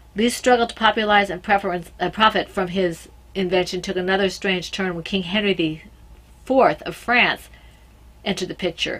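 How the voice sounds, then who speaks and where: A woman at medium pitch and a fairly quick pace, on a very clean recording with a silent background. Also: fairly even intonation. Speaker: podcast host. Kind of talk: reading aloud. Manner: halting.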